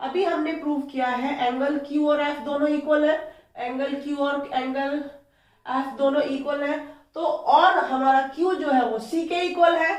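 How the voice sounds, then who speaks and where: With audible room echo, a woman talks at a fairly slow pace in a high pitch. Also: fairly even intonation. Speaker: maths teacher. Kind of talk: tutorial.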